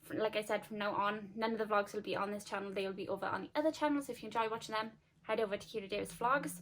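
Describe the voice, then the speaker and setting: Talking at a very fast pace, a woman with a South Welsh accent uses ordinary pitch variation. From Wales, Llanelli. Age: 20s. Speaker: lifestyle vlogger. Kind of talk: casual chat to camera. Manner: casual, many fillers.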